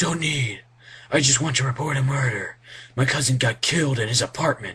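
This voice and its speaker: Using a put-on character voice, a man with a medium pitch speaks at a fairly quick pace with fairly even intonation and very even loudness. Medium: read story.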